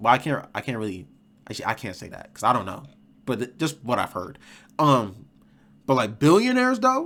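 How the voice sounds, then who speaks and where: In a very clean recording with a silent background, a man speaks at a fairly quick pace in a medium pitch, with an animated, bright, sharp tone, lively intonation, big swings in loudness, and long, frequent pauses. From Rochester, New York. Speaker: streamer reacting to videos. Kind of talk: casual reaction commentary. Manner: animated, filler-heavy.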